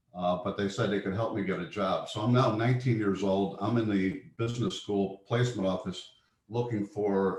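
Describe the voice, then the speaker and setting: In an American accent, a man speaks at a moderate pace. His voice is fairly low in pitch and somewhat breathy. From US Midwest. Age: 70s. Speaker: investment manager. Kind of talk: interview. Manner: halting.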